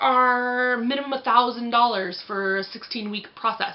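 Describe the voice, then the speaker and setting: A woman with a high-pitched voice speaks at a moderate pace in an animated tone over noticeable background noise. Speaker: vlogger. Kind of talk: casual vlog.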